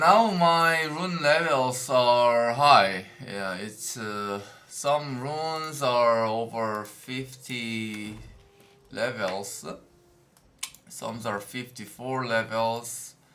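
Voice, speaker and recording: With audible room echo, a man talks very slowly at a medium pitch, showing ordinary pitch variation and big swings in loudness. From South Korea. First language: Korean. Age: 20s. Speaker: game streamer. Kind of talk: live stream commentary. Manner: halting.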